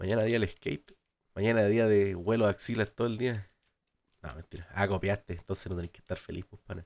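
The delivery is at a fairly quick pace. Loudness swings widely throughout. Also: man, fairly low pitch for a man. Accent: Chilean. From Chile. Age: 20s. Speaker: gaming streamer. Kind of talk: casual live stream chat. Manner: animated. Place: home room.

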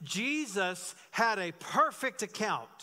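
A man speaks at a high pitch in a bright, sharp tone, his voice raised and projected. The background is quiet. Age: 50s. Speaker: pastor. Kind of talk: sermon; church announcements. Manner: conversational. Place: church. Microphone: podium.

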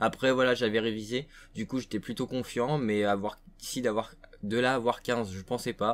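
At a moderate pace, a man speaks, his intonation fairly even. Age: young. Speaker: gaming YouTuber. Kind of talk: casual vlog to viewers. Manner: hesitant, many fillers. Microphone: webcam.

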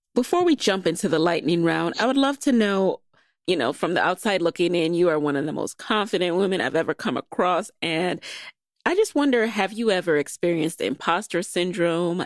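A woman with an ordinary speaking voice and an American accent talks at a moderate pace, her pitch fairly low and her intonation lively. The recording is very clean with a silent background and a dry, close sound with no echo. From New York (the Bronx). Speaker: podcast host. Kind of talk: interview.

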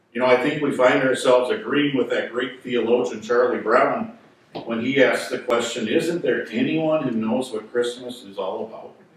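Male speech at a moderate pace, with audible room echo and light background noise. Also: fairly even intonation. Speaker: pastor. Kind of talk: sermon. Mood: lightly humorous. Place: church.

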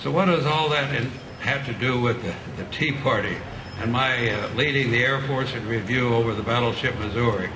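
The voice has ordinary pitch variation. Background noise is noticeable. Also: man. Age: 90s. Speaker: war veteran; speaker. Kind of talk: speech. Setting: stage with audience. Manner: halting. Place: street. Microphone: pa.

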